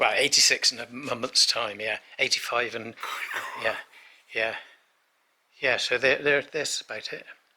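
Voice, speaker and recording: A man with an English accent speaks with long, frequent pauses. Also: moderate pace. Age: 80s+. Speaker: chateau owner. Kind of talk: casual chat. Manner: halting.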